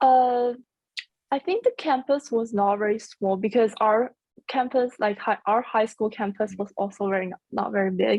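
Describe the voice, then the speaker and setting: With a Chinese accent, a woman speaks at a moderate pace and a fairly high pitch, with ordinary pitch variation. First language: Mandarin Chinese. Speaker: university student. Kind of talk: casual interview chat. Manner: halting.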